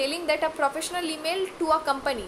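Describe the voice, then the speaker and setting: Over noticeable background noise, a woman talks at a fairly quick pace in a high pitch. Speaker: online class instructor. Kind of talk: lecture. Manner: halting, many fillers.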